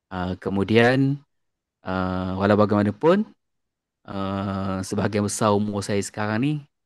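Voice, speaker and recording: In a very clean recording with a silent background, a man with a fairly low pitch speaks at a fairly slow pace with fairly even intonation. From Malaysia, Terengganu (Besut) and Kelantan. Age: 40s. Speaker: primary school science teacher. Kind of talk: podcast interview. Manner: hesitant, many fillers.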